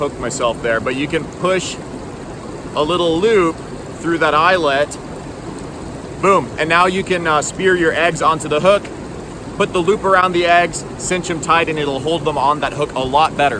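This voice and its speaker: A man speaks at a moderate pace with ordinary pitch variation, leaving long, frequent pauses. Background noise is noticeable. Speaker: fishing vlogger. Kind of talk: casual outdoor vlog tutorial. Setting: outdoors by a river. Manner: casual with many fillers.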